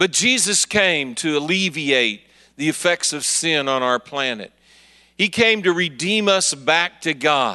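A man speaks in an American accent with a bright, sharp tone. His intonation is lively, and the background is quiet. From Kansas City, Missouri. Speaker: prison and biker ministry evangelist. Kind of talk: sermon. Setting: church service with congregation.

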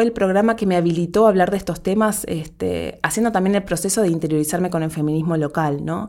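A woman speaks in a dark, mellow tone at a very fast pace, her intonation lively. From Uruguay, Montevideo. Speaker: podcast producer. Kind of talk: interview conversation.

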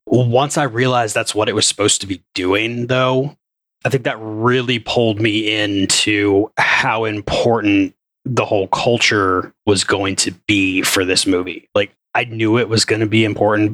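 A man's fairly low voice, an ordinary speaking voice, at a moderate pace with fairly even intonation and very even loudness, in a dry, close sound with no echo. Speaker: podcast co-host. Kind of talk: casual chat.

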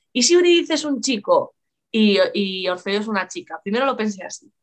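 With lively intonation, a woman speaks in a fairly high pitch. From Galicia, Spain (Lugo). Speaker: writer and biology teacher. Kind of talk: casual interview chat. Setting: live stream.

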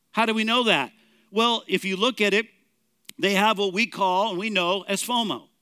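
A man's raised, projected voice, high in pitch, on a very clean recording with a silent background. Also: ordinary pitch variation, moderate pace. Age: 50s. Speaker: pastor. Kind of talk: sermon.

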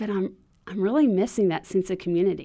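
Here is a woman with an ordinary speaking voice at a medium pitch. Her intonation is fairly even, and the recording is very clean with a silent background. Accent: American. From Texas. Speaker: children's ministry trainer. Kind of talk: podcast interview.

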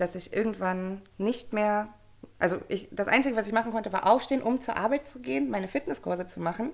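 A woman talking at a very fast pace at medium pitch, with vocal fry and ordinary pitch variation. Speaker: coach for mothers. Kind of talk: interview.

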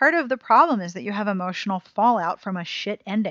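At a fairly quick pace, a woman speaks. Her pitch is medium. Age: 30s. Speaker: podcast host. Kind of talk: casual chat.

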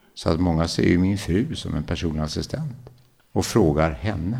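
A man speaks with a very deep, low pitch. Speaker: paralympic athlete and adventurer. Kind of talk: interview, life story. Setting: at his home.

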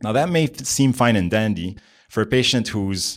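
This man has an unremarkable speaking voice, pitched fairly low. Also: very clean recording, silent background. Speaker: trauma physician. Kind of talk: expert interview.

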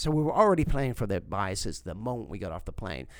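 A man talks at a very fast pace with a medium pitch. His voice has vocal fry and very wide pitch swings. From South Africa. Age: 60s. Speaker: mentalist. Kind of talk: interview.

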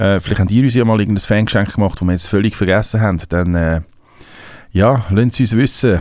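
Pitch rises and falls in an ordinary way in what is a normal speaking voice. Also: man. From Switzerland. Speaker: rapper. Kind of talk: casual chat. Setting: studio.

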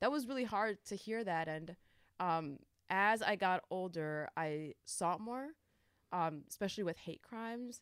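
With a plain, everyday voice and an American accent, a woman talks at a moderate pace with ordinary pitch variation, in a dry, close sound with no echo. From upstate New York. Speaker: youth program coordinator. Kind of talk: casual interview.

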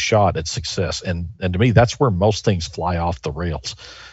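Somewhat breathy, a man speaks at a moderate pace. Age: 50s. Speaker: business author. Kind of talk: interview.

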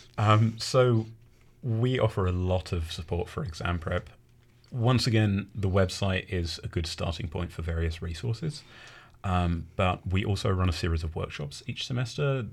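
Somewhat breathy and fairly low in pitch, a man speaks on a very clean recording with a silent background. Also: ordinary pitch variation, moderate pace. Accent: English. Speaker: university academic skills coordinator. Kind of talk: interview. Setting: radio studio.

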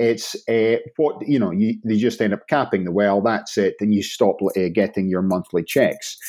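In a Scottish accent, a man talks in a dark, mellow tone at a fairly low pitch with ordinary pitch variation. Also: moderate pace, hardly any pauses. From northern Scotland, Inverness. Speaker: blockchain startup founder. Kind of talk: interview.

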